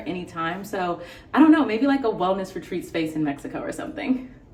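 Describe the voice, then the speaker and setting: With an American accent, a woman speaks at a very fast pace and a medium pitch. Noticeable background noise is present. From US West Coast, San Francisco Bay Area. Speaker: beauty vlogger. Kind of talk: casual chat. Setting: hotel room.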